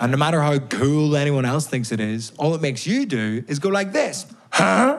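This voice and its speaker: A man with a fairly high pitch speaks at a moderate pace, barely pausing, his pitch swinging very widely. Noticeable background noise and audible room echo fill the recording. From Northern Ireland, Belfast. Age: 20s. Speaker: stand-up comedian. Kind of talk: stand-up. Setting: stage with audience.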